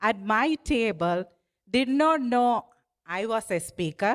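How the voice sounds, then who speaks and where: A woman speaks with a non-native accent, her pitch swinging very widely. The recording is very clean, with a silent background. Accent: noticeable foreign. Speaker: political candidate. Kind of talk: campaign speech. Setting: stage with dinner audience. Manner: humorous, conversational.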